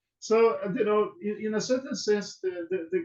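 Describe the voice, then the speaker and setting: The speaker has a Brazilian Portuguese accent. Pitch variation is ordinary. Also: man. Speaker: law professor. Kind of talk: webinar interview. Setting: video call. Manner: halting, many fillers and repetitions.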